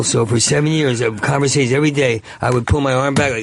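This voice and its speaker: A man talks at a fairly quick pace with a medium pitch and ordinary pitch variation. There is noticeable background noise. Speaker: comedian. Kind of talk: casual chat. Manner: fast.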